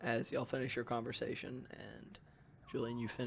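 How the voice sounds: What you hear is a voice reading naturally.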